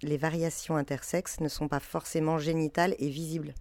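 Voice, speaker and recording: At a moderate pace, a woman talks with a very deep, low pitch on a very clean recording with a silent background. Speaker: intersex activist. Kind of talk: testimony.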